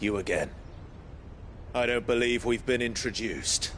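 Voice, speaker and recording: A man speaks in a put-on character voice at a medium pitch. His pace is moderate, with clear background noise behind him. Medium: video game. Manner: terse, blunt.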